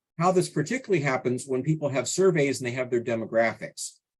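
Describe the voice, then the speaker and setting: Somewhat breathy and medium in pitch, a man talks at a very fast pace with lively intonation. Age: 60s. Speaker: statistics consultant. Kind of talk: tutorial.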